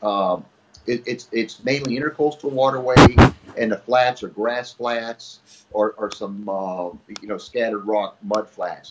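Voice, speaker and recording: Speaking at a fairly slow pace with an American accent, a man uses a medium pitch and ordinary pitch variation over noticeable background noise. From Miami, Florida. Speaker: fishing TV host and writer. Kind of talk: casual interview.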